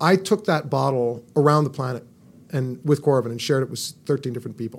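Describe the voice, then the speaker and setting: A man at medium pitch with a fairly quick pace, ordinary pitch variation, and big swings in loudness. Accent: Californian. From California. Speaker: inventor and medical technology entrepreneur. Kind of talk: interview. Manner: animated.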